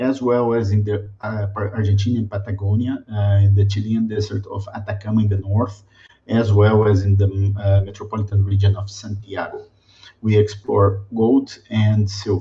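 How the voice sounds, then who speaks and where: A man's dark, mellow, somewhat breathy voice in a flat monotone, with a Brazilian accent. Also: fairly low pitch for a man, moderate pace. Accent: typical Brazilian. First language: Portuguese. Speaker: mining company sustainability director. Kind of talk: webinar presentation. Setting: video webinar. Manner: halting, many fillers.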